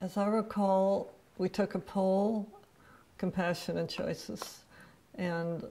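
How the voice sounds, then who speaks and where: A woman's dark, mellow voice, pitched fairly low. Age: 80s+. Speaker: advocate. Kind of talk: testimony.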